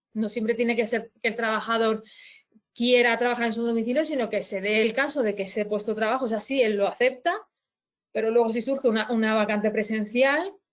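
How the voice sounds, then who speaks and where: A woman talks at a fairly quick pace with fairly even intonation. Her pitch sits fairly high. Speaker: labour law advisor. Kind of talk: webinar presentation. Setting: online webinar. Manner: halting, many restarts.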